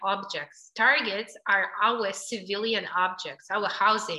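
A woman speaks with a Ukrainian accent. Her tone is bright and sharp. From Ukraine. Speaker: NGO director. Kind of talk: interview.

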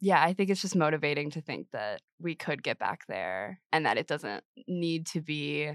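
With vocal fry and a fairly slow pace, the voice comes through dry and close with no echo over a quiet background. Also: woman. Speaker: undergraduate student, essay award winner. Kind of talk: casual interview. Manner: hesitant, many fillers.

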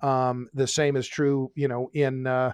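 With an American accent, a man uses an unremarkable speaking voice, fairly high in pitch and fairly even in intonation, recorded with a dry, close sound, no echo and a quiet background. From Oklahoma. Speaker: energy author. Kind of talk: interview.

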